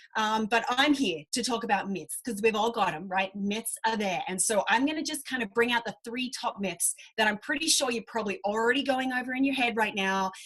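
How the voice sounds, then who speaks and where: With an Australian accent, a woman talks at a fairly quick pace and fairly high pitch, with ordinary pitch variation and hardly any pauses. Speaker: fitness coach. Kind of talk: online group presentation. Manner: animated.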